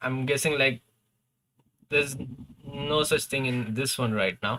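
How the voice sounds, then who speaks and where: A man with a non-native accent speaks at a fairly high pitch, his bright, sharp tone carrying ordinary pitch variation. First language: not English. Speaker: gaming streamer. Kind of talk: live stream commentary. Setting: live stream. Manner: casual, hesitant with fillers.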